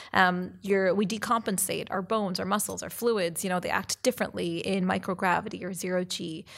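A woman's medium-pitched, monotone voice with vocal fry and a Canadian accent, in a very clean recording with a silent background. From Canada. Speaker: physician and astronaut candidate. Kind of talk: interview conversation. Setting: on location at a conference.

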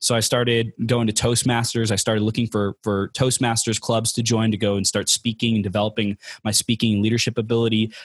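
With an American accent, a man of medium pitch speaks in a somewhat breathy monotone with flat intonation, very even loudness and hardly any pauses, against a quiet background. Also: fairly quick pace, dry, close sound with no echo. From Southern California, Inland Empire. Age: 20s. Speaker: life coach and motivational speaker. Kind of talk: podcast interview.

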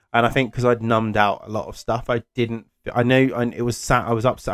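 A man speaks over music in the background. The sound is dry and close, with no echo. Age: 30s. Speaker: podcast host. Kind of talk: solo monologue. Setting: home office. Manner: halting, many fillers.

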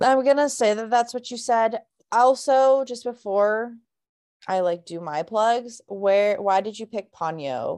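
Against a quiet background, a woman speaks at a fairly slow pace in a fairly high pitch, with ordinary pitch variation and big swings in loudness. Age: 20s. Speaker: podcast host and video game streamer. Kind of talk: casual chat. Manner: animated.

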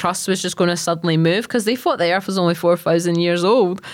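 Speaking at a fairly quick pace, a woman with a west of Scotland accent has a fairly low pitch. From Scotland, Largs (Ayrshire). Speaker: geologist and social media educator. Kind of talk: casual interview chat. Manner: animated, enthusiastic; casual, filler-heavy.

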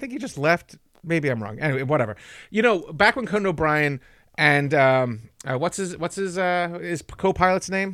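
In a very clean recording with a silent background, a man with an American accent speaks at a moderate pace, his high voice full of lively intonation. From England. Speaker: podcast host. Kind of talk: casual chat.

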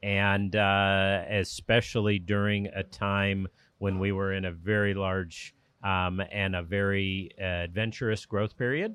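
The man speaks with an American accent, a fairly low pitch and monotone, flat intonation at a fairly slow pace. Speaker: boat company executive. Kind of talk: interview. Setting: boat show. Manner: hesitant, fillers.

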